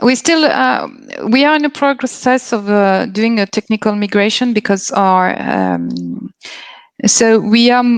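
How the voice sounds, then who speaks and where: A woman with a French accent speaks in a fairly high voice at a fairly slow pace. Her intonation is lively and her loudness very even. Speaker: company representative at a career fair. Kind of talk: live Q&A presentation. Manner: halting, many fillers and restarts.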